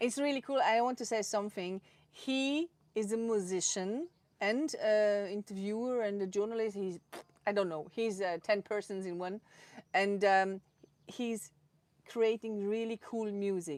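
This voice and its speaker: The recording is very clean, with a silent background. Speech moves at a fairly slow pace with ordinary pitch variation. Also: woman, medium pitch for a woman. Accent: Swiss German. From Switzerland, Zurich. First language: Swiss German. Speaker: photographer. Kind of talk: interview. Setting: live stream. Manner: halting.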